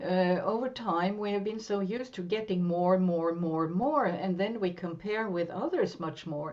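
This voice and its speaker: A woman with a Norwegian accent and ordinary pitch variation, in audible room echo. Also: medium pitch for a woman, moderate pace, hardly any pauses. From western Norway. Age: 60s. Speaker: therapist and coach. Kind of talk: interview.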